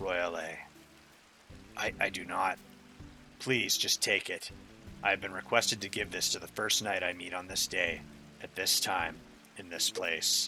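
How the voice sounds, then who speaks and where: In a raspy, put-on character voice of fairly low pitch, a man speaks at a moderate pace with long, frequent pauses over clear background noise. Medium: game stream. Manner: earnest.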